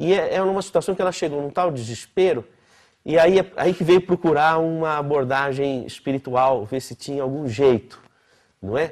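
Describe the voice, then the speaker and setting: A man's ordinary speaking voice with a fairly high pitch, ordinary pitch variation and a moderate pace over a quiet background. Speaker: physician lecturer. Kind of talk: lecture.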